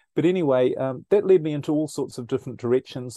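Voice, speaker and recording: With a New Zealand accent, a man talks at a fairly quick pace in a dark, mellow tone with ordinary pitch variation, the sound dry and close with no echo and the background quiet. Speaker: speaker and researcher. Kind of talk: casual interview chat.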